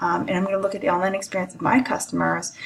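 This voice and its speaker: A woman is heard over noticeable background noise. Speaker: college lecturer. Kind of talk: recorded lecture.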